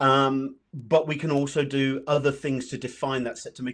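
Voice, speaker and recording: A man with a British accent against a quiet background. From UK. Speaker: data analytics presenter; presenter. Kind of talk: software tutorial presentation. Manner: fast. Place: home room.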